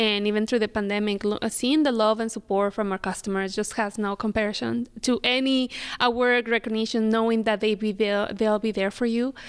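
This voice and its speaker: With a Spanish accent, a woman speaks at a fairly quick pace with hardly any pauses and very even loudness. Her fairly high voice stays monotone and flat. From Mexico City, Mexico. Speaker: business development officer and restaurant co-owner. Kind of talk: interview.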